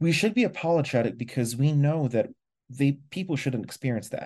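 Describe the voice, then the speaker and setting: Against a quiet background, a man with a fairly high pitch and a dark, mellow tone speaks somewhat breathily at a fairly quick pace. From Philippines. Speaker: customer service executive. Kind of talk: interview.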